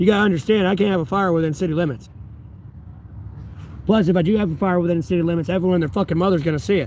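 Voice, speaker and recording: A man's high-pitched voice with a Southern US accent, a very fast pace, ordinary pitch variation, and long, frequent pauses. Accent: Southern American. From North Carolina, USA. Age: 30s. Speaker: homeless livestreamer. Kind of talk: casual livestream talk to chat.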